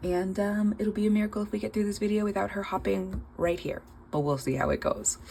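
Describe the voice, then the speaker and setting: Noticeable background noise runs through the clip. A woman speaks over it at a moderate pace. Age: 30s. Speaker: budgeting vlogger, nail tech. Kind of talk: casual vlog monologue. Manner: hesitant, many fillers.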